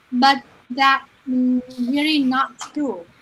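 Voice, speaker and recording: Music plays in the background. Over it, a woman speaks in a high pitch. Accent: Vietnamese. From Vietnam. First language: Vietnamese. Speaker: online business owner. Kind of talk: live stream guest answer. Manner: halting, many fillers.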